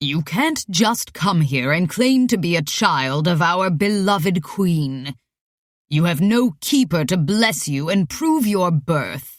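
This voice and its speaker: At a fairly slow pace, a put-on character voice holds a middle pitch. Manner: pompous.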